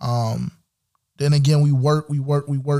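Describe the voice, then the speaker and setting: Fairly high in pitch, a man talks in an animated tone at a moderate pace. His voice is somewhat breathy. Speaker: sports podcast host. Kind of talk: casual sports commentary.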